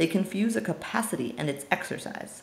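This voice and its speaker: Lively intonation runs through a woman's somewhat breathy voice. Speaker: amateur reader of philosophy. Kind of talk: audiobook reading of philosophy text.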